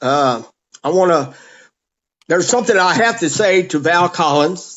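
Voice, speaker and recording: A man's high-pitched voice at a moderate pace, with very even loudness and lively intonation. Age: 60s. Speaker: powerboat racer. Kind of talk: casual chat. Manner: halting.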